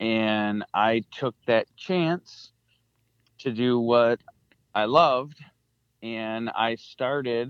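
A man with an American accent talks at a very slow pace, leaving long, frequent pauses. His pitch is medium with ordinary variation, and the sound is dry and close with no echo. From central Michigan. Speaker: hunter and hunting video producer. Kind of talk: casual interview chat.

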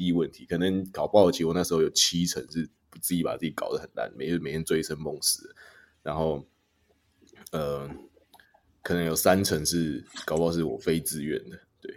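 A man with a Taiwanese accent speaks at a moderate pace, leaving long, frequent pauses. His loudness swings widely. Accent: Taiwanese Mandarin. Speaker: podcast host. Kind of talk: casual chat.

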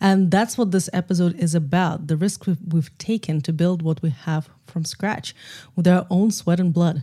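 With a fairly low pitch and a dark, mellow tone, a woman talks at a fairly quick pace, somewhat breathy, with ordinary pitch variation. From Russia, Moscow. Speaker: film and podcast producer. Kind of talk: casual conversation. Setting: remote recording via software.

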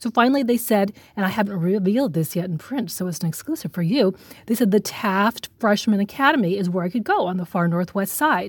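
Against noticeable background noise, a woman with an American accent speaks at a medium pitch, a fairly quick pace, and with lively intonation. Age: 40s. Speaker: journalist. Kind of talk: interview.

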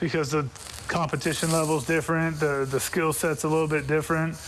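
There is noticeable background noise here. A man speaks in a fairly high voice. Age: 40s. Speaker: former football player and coach. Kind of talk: radio sports interview.

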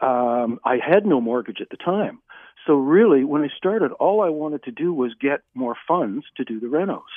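A man's fairly high voice at a moderate pace, with lively intonation. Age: 60s. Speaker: mortgage client. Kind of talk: interview testimony. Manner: halting, many fillers.

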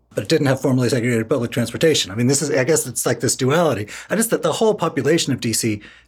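With an American accent, a man speaks in a somewhat breathy voice. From Washington, D.C. (Northwest). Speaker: podcast co-host. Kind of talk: casual chat.

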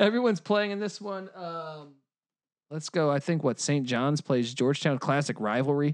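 A man speaks at a moderate pace with a fairly high pitch and lively intonation against a quiet background. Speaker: podcast host. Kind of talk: casual chat. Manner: animated.

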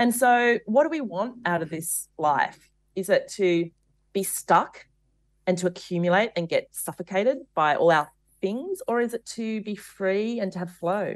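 A woman talks at a fairly slow pace with lively intonation. She has an Australian accent. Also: medium pitch for a woman. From Australia, rural. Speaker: author and podcaster. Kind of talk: interview. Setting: remote interview.

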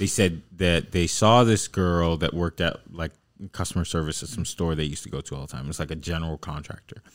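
Here a man speaks with a very deep, low pitch. The recording is very clean, and the background is silent. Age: 20s. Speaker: podcast host. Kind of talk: casual chat. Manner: laughs often.

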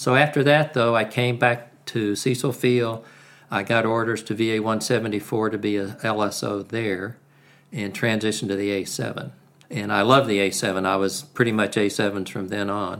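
A man speaks in an unremarkable speaking voice at a fairly low pitch. His pace is fairly slow and his intonation fairly even. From US South (Alabama, Carolinas). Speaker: retired navy attack pilot. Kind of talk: interview.

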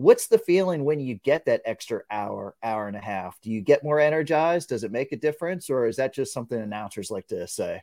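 Lively intonation and a dark, mellow tone mark this man's speech at a fairly quick pace. The recording is very clean, with a silent background. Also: fairly high pitch for a man, dry, close sound with no echo. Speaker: sports reporter and podcast host. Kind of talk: casual interview chat.

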